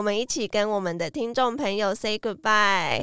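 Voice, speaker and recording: A woman with a Taiwanese accent. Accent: Taiwanese Mandarin. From Taiwan, Tainan. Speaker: podcast host. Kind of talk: casual chat. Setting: studio.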